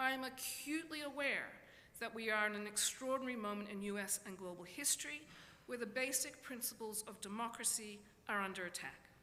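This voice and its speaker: Audible room echo surrounds a woman speaking at a fairly quick pace with a fairly high pitch. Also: ordinary pitch variation. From Australia. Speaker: professor. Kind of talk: lecture. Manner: hesitant, with many fillers.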